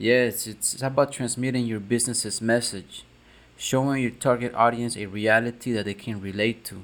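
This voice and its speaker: Medium-pitched male speech with a Spanish accent, fairly even intonation, big swings in loudness and a moderate pace. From South America. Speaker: marketing co-host. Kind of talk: casual chat.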